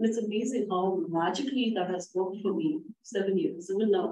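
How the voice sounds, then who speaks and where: Lively intonation at a fairly quick pace, in a non-native accent. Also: woman. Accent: foreign. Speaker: real estate agent. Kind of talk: class discussion.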